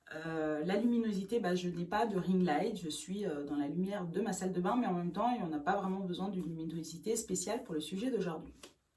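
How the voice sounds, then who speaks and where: Speaking fairly quickly with hardly any pauses, a woman at medium pitch shows ordinary pitch variation over noticeable background noise and audible room echo. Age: 40s. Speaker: beautician and makeup artist. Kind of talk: beauty tutorial. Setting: home bathroom. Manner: hesitant, many filler sounds.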